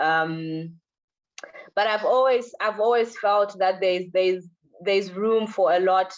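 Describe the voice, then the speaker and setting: Fairly even intonation with a Zimbabwean accent. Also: woman. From Zimbabwe, Harare. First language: Shona. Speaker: visual artist. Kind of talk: interview in a lecture event. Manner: halting, repeats words.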